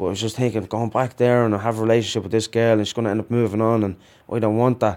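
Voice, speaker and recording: This man talks at a very fast pace with an Irish accent. His intonation is flat and monotone. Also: medium pitch for a man. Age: 30s. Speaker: prisoner. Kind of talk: interview.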